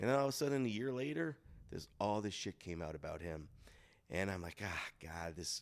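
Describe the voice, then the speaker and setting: At a moderate pace, a man with an unremarkable speaking voice is heard in a very clean recording with a silent background. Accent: American. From Chicago. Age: 30s. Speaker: podcast guest, local personality. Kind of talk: casual chat. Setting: studio in a Las Vegas hotel.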